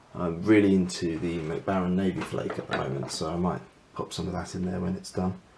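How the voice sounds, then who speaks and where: A man's very deep, low voice carries fairly even intonation over noticeable background noise. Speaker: pipe smoker. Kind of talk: casual talk to camera. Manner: mumbling, hesitant.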